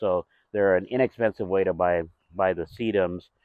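Against a quiet background, the dry sound has no echo, and the speech moves at a moderate pace with fairly even intonation. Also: man. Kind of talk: walkthrough tour commentary. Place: garden.

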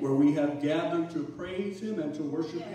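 A man speaks with ordinary pitch variation. There is strong room echo and noticeable background noise. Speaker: pastor leading worship. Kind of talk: worship call and welcome. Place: church.

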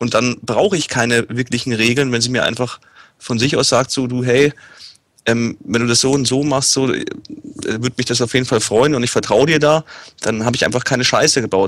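A man with a slight Bavarian accent, medium pitch, fairly even intonation and a fairly quick pace. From Munich, Germany. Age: 30s. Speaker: guest, event organizer.

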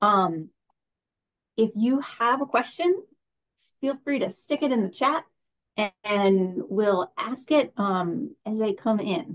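A fairly high-pitched woman at a very slow pace, lively intonation, long and frequent pauses, quiet background. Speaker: event moderator. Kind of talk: moderated Q&A. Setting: video call. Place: home room. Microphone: webcam.

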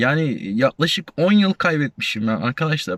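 The man's intonation rises and falls in a lively way. His pace is moderate. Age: 40s. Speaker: YouTuber, retiree, warehouse supervisor. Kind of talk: casual vlog talk. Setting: outdoors at a university campus. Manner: halting, many fillers.

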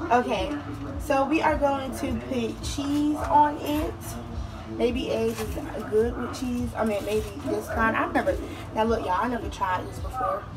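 Noticeable background noise accompanies a woman as she speaks. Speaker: home cook vlogger. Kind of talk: casual cooking tutorial. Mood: playful, a bit flustered. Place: kitchen. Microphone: phone near.

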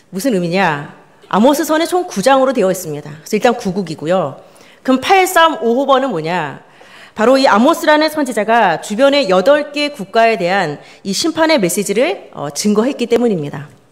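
Using vocal fry and very wide pitch swings, a woman talks at a moderate pace. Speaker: pastor. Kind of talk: sermon. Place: church. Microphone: podium.

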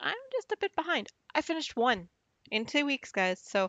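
A woman is heard with a dry sound that has no echo against a quiet background. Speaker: knitting vlogger. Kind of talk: casual vlog chat. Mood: light, laughing, chatty. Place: home room.

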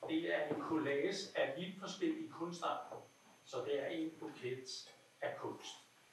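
A man talks at a fairly slow pace amid noticeable background noise and audible room echo. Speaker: salon host. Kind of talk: casual chat. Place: home room. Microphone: camera far.

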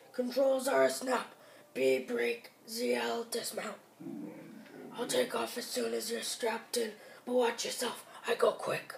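A put-on character voice, raspy, moves at a fairly slow pace. Long, frequent pauses break up the delivery. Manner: salesy, upbeat.

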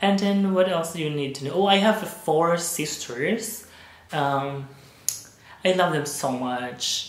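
In a Visayan Filipino accent, the speaker goes at a very slow pace against noticeable background noise. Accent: Filipino (Cebuano) English. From Philippines, Cebu. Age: 30s. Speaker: vlogger. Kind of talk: casual vlog monologue. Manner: hesitant, many fillers.

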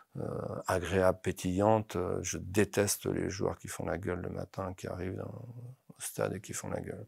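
Over a quiet background, a man with a very deep, low, somewhat breathy voice speaks at a fairly slow pace with fairly even intonation. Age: 50s. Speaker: football coach. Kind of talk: interview. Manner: halting, many repetitions. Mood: calm, passionate, reflective. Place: studio. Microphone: lapel.

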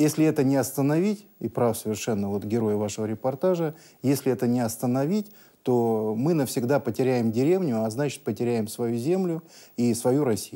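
Over a quiet background, a man talks at a moderate pace in a medium-pitched voice with a dark, mellow tone. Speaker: expert guest. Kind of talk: studio discussion. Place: studio.

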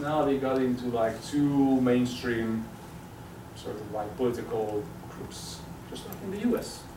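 A man speaks at a moderate pace, his pitch varying in an ordinary way, with noticeable background noise around him. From Hungary. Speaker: sociology professor. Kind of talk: lecture. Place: classroom. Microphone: camera far.

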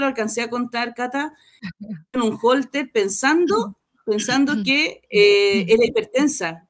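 Over a quiet background, a woman talks in a high voice. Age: 50s. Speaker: program participant giving testimonial; guest. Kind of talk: testimony. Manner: halting. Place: home room.

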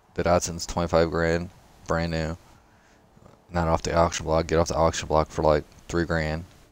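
Very deep and low, a man's voice holds a monotone, flat intonation. He keeps a moderate pace with long, frequent pauses. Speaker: gaming streamer. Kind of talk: live gameplay commentary. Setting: livestream at home. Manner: casual, rambling.

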